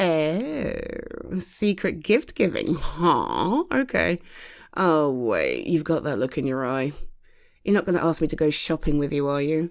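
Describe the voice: A woman does a put-on character voice with a low pitch, vocal fry and big pitch swings. She talks at a fairly slow pace in a very clean recording with a silent background.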